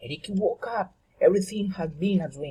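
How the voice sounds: High in pitch, a man's voice carries a husky, rough edge and a dark, mellow tone. His intonation is lively.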